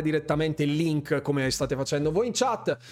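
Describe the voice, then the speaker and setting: A man talks in an animated tone. His pace is fairly quick. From Bergamo, northern Italy. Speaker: gaming streamer and YouTuber. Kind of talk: live stream chat with viewers. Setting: live stream at home, headset microphone. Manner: animated, chatty, informal.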